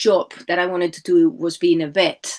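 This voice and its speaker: Lively intonation and a moderate pace, in a Spanish accent. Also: woman. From Spain. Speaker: life coach and entrepreneur. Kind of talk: podcast interview.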